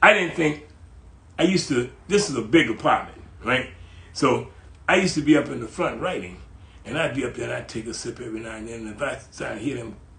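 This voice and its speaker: An animated man speaks very fast at a medium pitch, with lively intonation. Audible room echo surrounds his voice. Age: 80s+. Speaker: writer. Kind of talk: casual chat.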